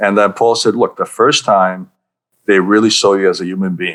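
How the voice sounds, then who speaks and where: In a New York accent, a man with a fairly low pitch speaks at a moderate pace with monotone, flat intonation. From Budapest-born, lived in New York and Southern California. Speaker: leadership coach, speaker and author. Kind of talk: podcast interview answer.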